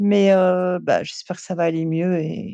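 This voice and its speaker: The woman's voice sits at a fairly low pitch, with a dark, mellow tone and monotone, flat intonation. The sound is dry and close, with no echo. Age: 70s. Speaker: retired actress and former teacher. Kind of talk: casual interview chat. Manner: hesitant, many fillers.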